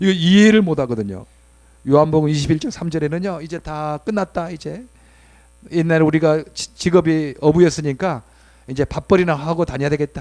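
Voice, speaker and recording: Fairly quick speech with big swings in loudness. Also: man, fairly high pitch for a man, ordinary pitch variation. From South Jeolla, Mokpo, South Korea. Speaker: pastor. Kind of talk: sermon. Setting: church worship service.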